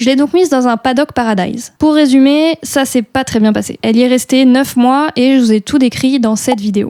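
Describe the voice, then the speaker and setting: A woman's high pitch and dark, mellow tone at a fairly quick pace, with ordinary pitch variation and a dry, close sound with no echo. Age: 20s. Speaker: horse rider. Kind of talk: vlog voice-over narration.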